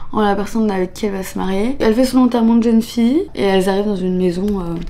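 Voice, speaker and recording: Very fast speech from a woman at a medium pitch, ordinary in pitch variation, with noticeable background noise behind it. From France, Annecy (Alps). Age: 20s. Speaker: vlogger. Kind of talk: casual vlog talk. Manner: casual, hesitant with fillers.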